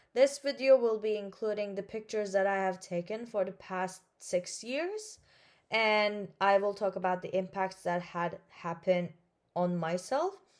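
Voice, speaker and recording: In a Turkish accent, a woman at medium pitch speaks at a fairly slow pace with ordinary pitch variation on a very clean recording with a silent background. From Turkey (Istanbul). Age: 20s. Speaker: vlogger. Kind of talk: personal vlog narration.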